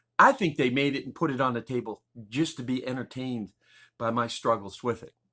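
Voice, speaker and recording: Recorded very cleanly over a silent background, a man uses a normal speaking voice at a medium pitch and a fairly quick pace. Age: 60s. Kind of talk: personal testimony. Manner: casual, meandering.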